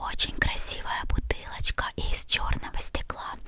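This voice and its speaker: A woman whispers at a very slow pace. There is noticeable background noise. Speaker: ASMR creator. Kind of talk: ASMR unboxing. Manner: whispered.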